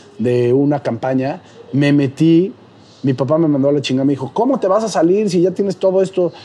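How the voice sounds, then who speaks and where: With an animated tone and ordinary pitch variation, a man speaks over noticeable background noise. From Mexico, Puebla. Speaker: comedian and social media creator. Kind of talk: casual interview chat.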